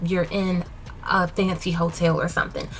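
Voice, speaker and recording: A woman speaks at a medium pitch in an animated tone. Background noise is noticeable. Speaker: DIY home decor vlogger. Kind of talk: casual voiceover narration of a makeover video. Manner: fast.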